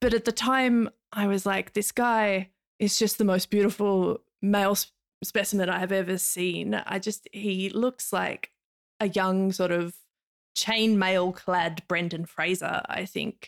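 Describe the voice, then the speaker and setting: Speaking at a fairly slow pace with an Australian accent, a woman keeps a medium pitch and fairly even intonation in a dry, close sound with no echo. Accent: mild Australian. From Tasmania, Australia. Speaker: academic. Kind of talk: casual interview chat.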